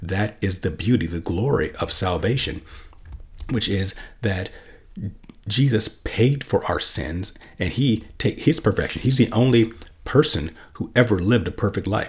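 A man with a fairly low pitch and a somewhat breathy voice talks at a moderate pace with lively intonation. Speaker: podcast host, Bible teacher. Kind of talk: solo teaching podcast.

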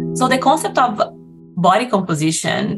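A woman is speaking. She has a Brazilian accent. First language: Portuguese. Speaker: nutrition professor. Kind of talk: interview.

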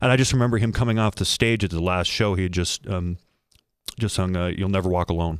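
Very fast and very deep, a man talks with ordinary pitch variation, the sound dry and close with no echo on a very clean recording with a silent background. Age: 50s. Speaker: entertainment journalist. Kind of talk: casual chat.

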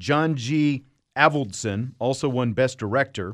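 A man talks in a normal speaking voice, his pitch medium and its variation ordinary. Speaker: podcast host. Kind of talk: casual chat.

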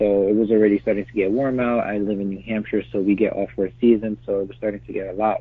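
In a plain, everyday voice with an American accent, a man speaks at a fairly quick pace, his fairly low pitch showing ordinary pitch variation. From New York City (Bronx). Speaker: clothing brand founder. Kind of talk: interview.

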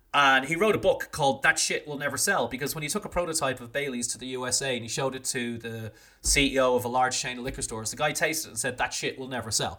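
This voice speaks very fast in an Irish accent. Its tone is bright and sharp, with ordinary pitch variation. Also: man, medium pitch for a man. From Ireland, small town. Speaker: drinks industry consultant and brand owner. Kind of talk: casual interview.

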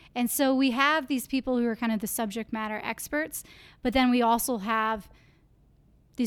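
On a very clean recording with a silent background, a woman with an Upper Midwest accent speaks at a fairly high pitch with fairly even intonation. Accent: Upper Midwest American. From Iowa (Clear Lake). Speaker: university entrepreneurship program coordinator. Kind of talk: interview.

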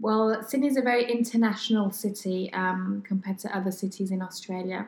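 A woman talks at a moderate pace in a medium pitch, somewhat breathy, with fairly even intonation. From France, British parents. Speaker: expat resident interviewed. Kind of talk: casual interview chat. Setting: outdoor cafe. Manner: hesitant, many ums.

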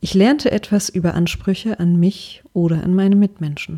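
A woman's dark, mellow tone sits at a medium pitch as she speaks at a moderate pace. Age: 30s. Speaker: podcaster sharing personal story. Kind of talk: scripted personal narration.

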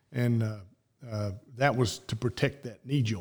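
The speaker has a Southern US accent and a somewhat breathy voice. The pace is fairly slow, with ordinary pitch variation. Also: man. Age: 60s. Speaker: former college quarterback. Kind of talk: interview. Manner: halting.

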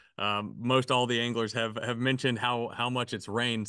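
With a Southern US accent, a man of medium pitch talks at a fairly quick pace in a bright, sharp tone with fairly even intonation against a quiet background. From Arkansas. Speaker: fishing podcast co-host. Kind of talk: casual chat.

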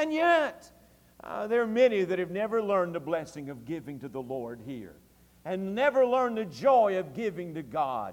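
In a Tennessee accent, a man speaks at a moderate pace with a high pitch and very wide pitch swings, amid audible room echo. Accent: Southern US (Tennessee). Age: 40s. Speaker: pastor. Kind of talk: early-2000s Southern Baptist evening sermon, fervent revival-style exhortation. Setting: church service. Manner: impassioned, rising preacher's cadence with repeated emphatic phrases.

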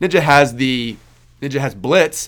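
Recorded very cleanly against a silent background, a man with a Kansas accent speaks at a fairly slow pace with ordinary pitch variation. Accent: Kansas twang. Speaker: podcast host, CPA exam tutor. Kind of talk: Q&A answers to a student group, casual monologue. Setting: recorded video. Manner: halting, many fillers.

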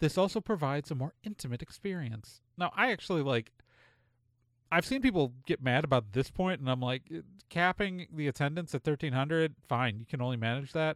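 A plain, everyday voice from a man with a fairly high pitch, lively intonation and a fairly quick pace, in a dry, close sound with no echo and a very clean recording over a silent background. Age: 40s. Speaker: podcast host. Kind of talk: casual chat.

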